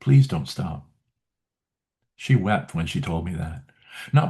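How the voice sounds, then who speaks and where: A somewhat breathy man with a dark, mellow tone talks at a moderate pace, his pitch swinging very widely. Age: 70s. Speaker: memoir writing coach. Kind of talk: video talk series. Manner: halting, with fillers.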